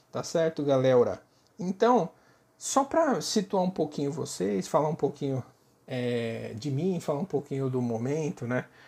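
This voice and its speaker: The delivery is at a fairly slow pace. The recording is very clean, with a silent background. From Brazil, São Paulo. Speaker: linguistics professor, podcast host. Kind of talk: solo podcast talk, informal lecture. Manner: casual, filler-heavy.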